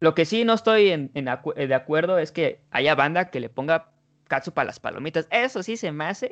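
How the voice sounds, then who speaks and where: Against a quiet background, a man with a Mexican accent speaks at a high pitch and a moderate pace, his intonation lively. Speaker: podcast host. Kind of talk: casual chat.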